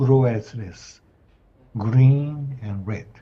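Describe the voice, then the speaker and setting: A man with a Japanese accent speaks very slowly in a dark, mellow, somewhat breathy voice. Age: 70s. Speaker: professor of anatomy. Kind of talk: lecture. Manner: halting.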